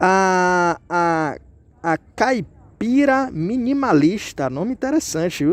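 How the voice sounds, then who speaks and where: His pitch rises and falls over a very wide range. The man's voice is high-pitched. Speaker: YouTuber answering viewer questions. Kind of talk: casual chat. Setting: outdoors.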